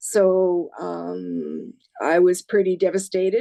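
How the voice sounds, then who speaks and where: With a Canadian accent and a dark, mellow tone, a woman speaks over a quiet background with a dry, close sound and no echo. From Saskatchewan, Canada. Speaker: amputee patient. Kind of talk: testimony. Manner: hesitant, many fillers.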